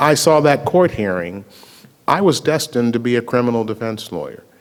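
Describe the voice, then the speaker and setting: A man speaks in a plain, everyday voice at medium pitch, his intonation lively. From US South, Memphis, Tennessee. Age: 60s. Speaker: attorney and racial justice activist. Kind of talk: public talk at a screening Q&A.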